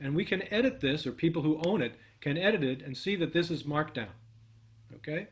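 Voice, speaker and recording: A man's fairly high voice at a fairly quick pace, with lively intonation and an unremarkable speaking voice. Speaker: workshop instructor. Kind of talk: live coding tutorial.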